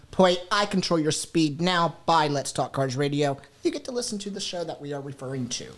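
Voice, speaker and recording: Here a man speaks in a normal speaking voice at a fairly quick pace. His pitch is fairly high, with ordinary variation. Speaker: radio co-host. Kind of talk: casual radio show chat. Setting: radio studio.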